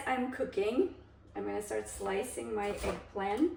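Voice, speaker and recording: A woman talks at a fairly slow pace in a Russian accent. Room echo can be heard around her voice. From Kazakhstan, then Germany as a teen. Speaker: cooking vlogger. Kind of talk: cooking tutorial with storytelling. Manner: casual, hesitant with frequent fillers.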